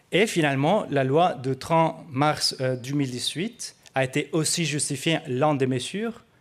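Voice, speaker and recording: A man with a non-native accent speaks at a fairly high pitch with ordinary pitch variation. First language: not French (speaking French). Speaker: researcher. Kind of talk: conference presentation. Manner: hesitant, many fillers.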